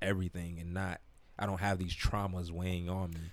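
Delivered with monotone, flat intonation in an American accent, the speech sits on a very clean recording with a silent background. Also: man. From South Florida (Broward County). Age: 30s. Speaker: hip-hop artist and entrepreneur. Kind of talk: casual interview chat.

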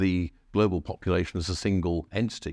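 A man with a very deep, low voice and an English accent speaks against a quiet background. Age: 60s. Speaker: historian and think tank fellow. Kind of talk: book talk at a live event.

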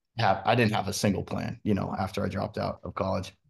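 Over a quiet background, a man with an ordinary speaking voice talks at a fairly quick pace in a fairly low pitch. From Washington State, US. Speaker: country singer. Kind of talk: interview.

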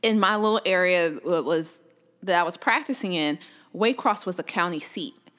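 With long, frequent pauses, a woman in a Southern US accent speaks at a moderate pace, her medium-pitched voice bright and sharp with lively intonation, in a very clean recording with a silent background. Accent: Southern US (Georgia). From US South, Georgia (Columbus). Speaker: orthopedic surgeon. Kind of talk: interview.

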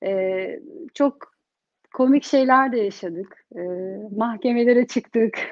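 A woman at a fairly high pitch talks at a very slow pace, her pitch varying in an ordinary way. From Turkey (Bursa). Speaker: entrepreneur, community group founder. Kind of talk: interview. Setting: online livestream.

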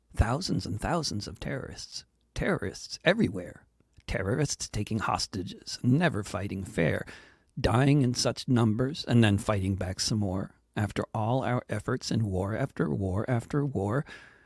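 A man with a medium-pitched, somewhat breathy voice talks at a moderate pace with lively intonation. The recording is very clean, with a silent background and a dry, close sound with no echo. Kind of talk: performed satirical poem, rhymed verse read aloud. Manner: rhetorical questions delivered with building irony, ending in a pointed sting.

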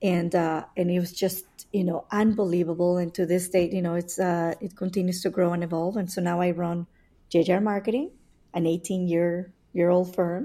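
The speaker has a Spanish accent, a moderate pace and monotone, flat intonation. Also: woman. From Mexico City. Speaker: entrepreneur and pilot. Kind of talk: casual interview chat.

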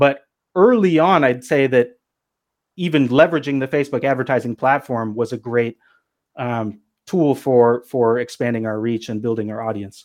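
In an American accent, an unremarkable speaking voice moves at a moderate pace with ordinary pitch variation against a quiet background. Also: man, medium pitch for a man. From US Pacific Northwest. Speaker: cannabis media entrepreneur. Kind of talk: podcast interview.

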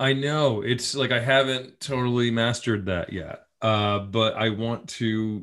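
A man with a normal speaking voice talks with an American accent at a medium pitch. His pace is fairly slow, with ordinary pitch variation and hardly any pauses. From upstate New York. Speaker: TV writer-producer and comedian. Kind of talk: casual chat. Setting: video call.

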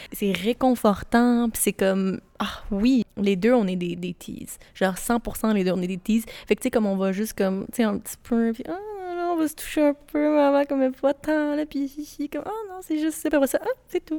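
Dark and mellow in tone yet high in pitch, a woman speaks at a moderate pace with lively intonation in a dry, close sound with no echo. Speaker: podcast co-host. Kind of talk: casual chat. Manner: calm.

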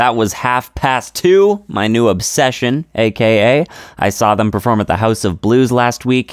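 With an animated, upbeat tone, a man at medium pitch is heard in a very clean recording with a silent background and a dry, close sound with no echo. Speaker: radio host. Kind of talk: radio DJ patter, playful comedy show host. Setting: radio studio. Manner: animated, upbeat, goofy.

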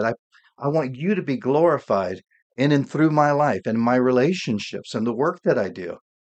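Against a quiet background, a man with an ordinary speaking voice talks at a moderate pace, his fairly high pitch moving with lively intonation. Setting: home studio, solo podcast. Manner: warm, earnest, fervent prayer tone.

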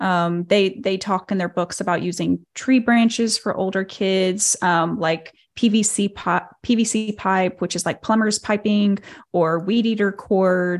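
A woman's medium-pitched voice in a Southern US accent, fairly slow and fairly even in intonation, on a very clean recording with a silent background. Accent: Southern American. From Arkansas, US South. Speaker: cult survivor and social media creator. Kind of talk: interview.

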